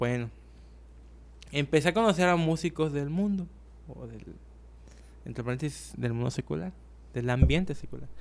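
Moderately paced speech from a man, with big swings in loudness and long pauses coming often. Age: 20s. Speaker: drummer. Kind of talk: casual chat.

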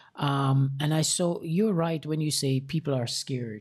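A somewhat breathy man with an American accent, at a moderate pace with ordinary pitch variation. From outside the US. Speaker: podcast host. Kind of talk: casual interview.

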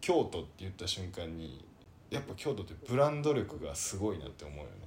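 This man is soft-spoken. Room echo can be heard around him. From Kyoto. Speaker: podcast co-host. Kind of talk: casual chat. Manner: soft-spoken Kansai speech.

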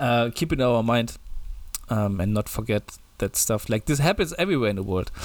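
A man with a German accent on a very clean recording with a silent background. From Germany. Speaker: podcast co-host. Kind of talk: casual banter podcast chat. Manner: joking, laughing often.

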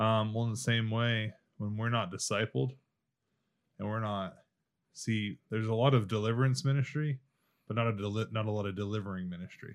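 The recording is very clean, with a silent background, as a man talks at a fairly quick pace with long, frequent pauses. His pitch is fairly low and his intonation fairly even. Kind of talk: casual chat.

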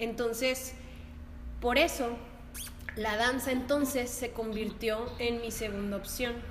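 Speaking at a very slow pace with long, frequent pauses, a woman uses a high pitch and monotone, flat intonation, with audible room echo and noticeable background noise. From northern Mexico, La Laguna region. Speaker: dance teacher. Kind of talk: casual chat.

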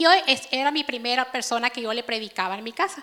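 Raising and projecting her high-pitched voice, a woman speaks at a fairly quick pace in a bright, sharp tone. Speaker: preacher. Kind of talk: sermon. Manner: conversational.

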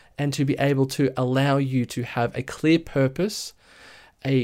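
Very clean audio and a silent background, with an Australian accent. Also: man. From Australia, Sydney area (Blue Mountains). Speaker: podcast host and brand designer. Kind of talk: solo podcast monologue.

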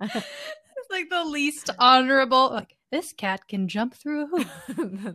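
Speaking very slowly with hardly any pauses, a woman uses a raised, projected, high-pitched voice with a bright, sharp tone and very wide pitch swings. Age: 30s. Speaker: podcast co-host. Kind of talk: casual chat.

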